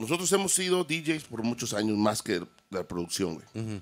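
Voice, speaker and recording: Vocal fry colors this voice. It moves at a moderate pace with very wide pitch swings. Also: man. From Mexico, San Luis Potosí. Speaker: DJ and audio production business owner. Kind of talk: casual chat. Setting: studio. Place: studio. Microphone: studio mic.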